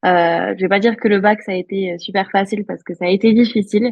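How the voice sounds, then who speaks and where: Her pitch medium and her intonation fairly even, a woman talks very fast. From rural France (Aveyron). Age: 20s. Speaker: entrepreneur. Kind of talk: interview.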